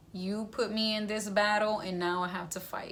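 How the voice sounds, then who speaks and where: A woman speaks with a Spanish accent at a fairly slow pace, her intonation monotone and flat. Audible room echo surrounds her voice. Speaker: vlogger sharing cancer journey. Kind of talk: casual video update. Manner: casual, rambling.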